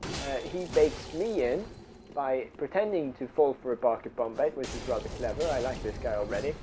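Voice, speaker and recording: A man talks at a fairly slow pace with a non-native accent. Noticeable background noise runs behind him. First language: non-native English speaker. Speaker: gamer, video game commentator. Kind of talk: gameplay commentary. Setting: low-quality home microphone.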